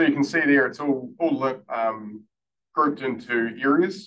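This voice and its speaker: A man's fairly high voice with a New Zealand accent and ordinary pitch variation. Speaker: council roading staff presenter. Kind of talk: formal presentation to a board.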